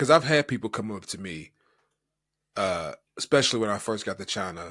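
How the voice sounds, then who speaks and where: A man with an American accent, medium pitch, a bright, sharp tone and lively intonation, on a very clean recording with a silent background. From United States. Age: 30s. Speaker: podcast co-host. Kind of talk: casual chat.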